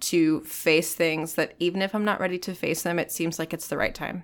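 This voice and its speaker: A woman with an American accent speaks at a fairly low pitch in a normal speaking voice. The recording is very clean, with a silent background. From Virginia Beach, US. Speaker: actor and singer. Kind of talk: casual chat. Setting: studio.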